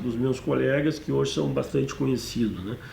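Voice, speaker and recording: A man's voice with audible room echo. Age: 60s. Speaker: film director. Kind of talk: monologue about own career. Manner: hesitant, with fillers.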